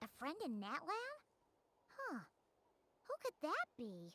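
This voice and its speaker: The delivery is fairly slow. A high-pitched, put-on character voice carries it. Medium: video game. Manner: wry, teasing.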